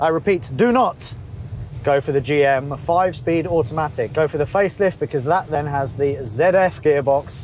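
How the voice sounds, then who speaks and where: A man at a moderate pace with ordinary pitch variation, dry sound with no echo, and light background noise. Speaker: car reviewer. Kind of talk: car review commentary. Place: car.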